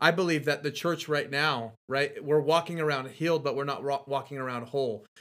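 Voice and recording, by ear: In an ordinary speaking voice, a man talks at a fairly quick pace with hardly any pauses. His pitch is fairly high and his intonation fairly even.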